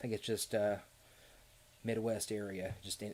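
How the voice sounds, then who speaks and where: With a slight Southern Kentucky accent, a man speaks at a fairly low pitch in a monotone, flat intonation. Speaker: theme park YouTuber. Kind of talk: live stream chat. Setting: live stream. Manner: hesitant, many fillers and repeats.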